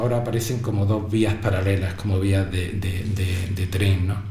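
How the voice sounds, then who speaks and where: With noticeable background noise and audible room echo, a man talks in a fairly low pitch. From Spain, Granada province (Ogíjares). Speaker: teacher. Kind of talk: interview. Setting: school radio studio.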